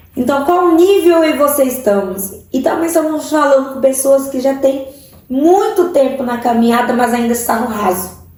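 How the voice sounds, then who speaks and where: A woman with a strong Cuiabá accent talks at a high pitch and a moderate pace with lively intonation. Noticeable background noise and audible room echo surround her voice. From Central-West Brazil, Várzea Grande/Cuiabá. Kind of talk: sermon-style online teaching.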